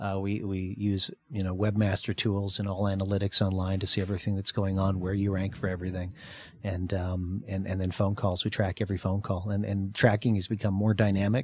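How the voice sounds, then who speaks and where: The recording is very clean, with a silent background. A somewhat breathy man with fairly low pitch talks at a fairly quick pace in a monotone, flat intonation. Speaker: marketing business owner. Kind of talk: radio interview about business. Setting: radio studio.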